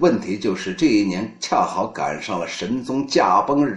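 A man speaks fairly slowly with noticeable background noise around him. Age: 50s. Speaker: poetry reading host. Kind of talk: live-streamed literary talk. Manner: animated.

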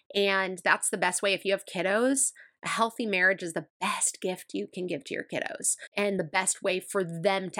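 A woman speaks at a medium pitch with a bright, sharp tone, her sound dry and close with no echo. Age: 30s. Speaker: podcast host. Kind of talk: casual solo podcast talk. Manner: warm, upbeat.

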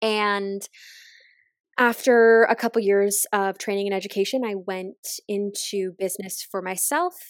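With a Maritime Canadian accent, a woman speaks at a fairly slow pace and medium pitch. Her intonation is fairly even, and the sound is dry and close with no echo. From Nova Scotia, Canada (near Halifax). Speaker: nutritionist and intuitive eating coach. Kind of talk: interview conversation.

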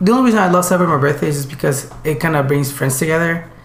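A man's fairly high-pitched voice with ordinary pitch variation, amid audible room echo and noticeable background noise. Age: 20s. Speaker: podcast co-host. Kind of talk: casual chat. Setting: in person in a living room.

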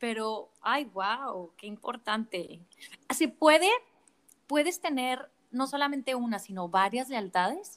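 A woman with a high pitch and lively intonation, at a very slow pace with big swings in loudness. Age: 30s. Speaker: podcast host. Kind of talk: interview conversation.

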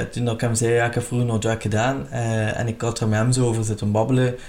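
Somewhat breathy, a man speaks in a medium pitch at a moderate pace. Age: 30s. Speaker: podcast host, retired drag queen. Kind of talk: casual interview chat.

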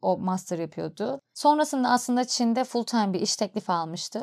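The voice shows ordinary pitch variation, recorded very clean with a silent background and a dry, close sound with no echo. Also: woman. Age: 30s. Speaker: podcast host. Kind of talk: personal storytelling monologue. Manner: conversational.

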